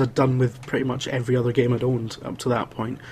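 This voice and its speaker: A man with a Scottish accent. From Scotland (Wales until about 10). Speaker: games journalist and video producer. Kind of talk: casual chat.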